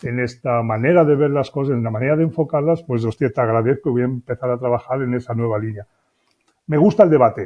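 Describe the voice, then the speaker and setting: A man of medium pitch talks at a very fast pace with ordinary pitch variation. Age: 60s. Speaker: business consultant and author. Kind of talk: interview. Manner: hesitant, with fillers.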